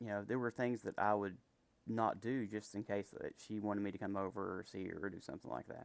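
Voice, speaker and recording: A man's fairly low voice in an American accent, fairly quick in pace, with fairly even intonation. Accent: Appalachian hick. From West Virginia. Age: 30s. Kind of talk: casual talk to camera. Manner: hesitant, says um a lot.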